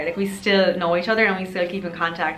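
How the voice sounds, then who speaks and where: A woman with an Irish accent, fairly low-pitched with fairly even intonation, amid noticeable background noise and audible room echo. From Ireland. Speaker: lifestyle youtuber. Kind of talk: casual vlog advice talk. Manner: chatty, many fillers.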